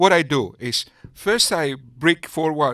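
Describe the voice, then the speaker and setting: A man speaks with a Greek accent in a bright, sharp tone with lively intonation. His pace is very slow, and the sound is dry and close with no echo. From Greece. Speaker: YouTube commentator. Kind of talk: sarcastic commentary.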